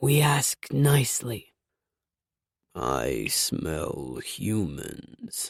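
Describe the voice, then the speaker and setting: A man uses a put-on character voice at a medium pitch. He talks at a very slow pace with long, frequent pauses. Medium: read story. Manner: slow, calm, ponderous.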